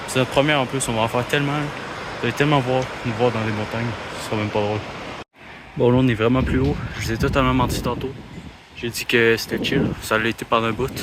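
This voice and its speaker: There is noticeable background noise while a man talks at a fairly quick pace in a medium pitch. He leaves long, frequent pauses. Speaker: vlogger. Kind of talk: travel vlog. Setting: outdoors hiking. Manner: animated; loud. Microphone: poor audio quality.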